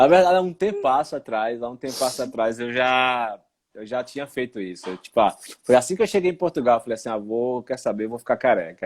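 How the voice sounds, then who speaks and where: Using a plain, everyday voice, a man speaks at a fairly quick pace, medium in pitch and lively in intonation. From Recife, Brazil. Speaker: live stream host. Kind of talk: casual live stream chat. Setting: at home, online live stream.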